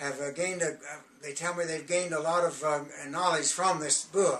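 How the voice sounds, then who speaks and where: With noticeable background noise behind him, a man speaks in a flat monotone at a fairly high pitch and a moderate pace. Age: 80s+. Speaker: self-styled prophet and religious author. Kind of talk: direct-to-camera religious message promoting books. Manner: halting, frequent hesitations.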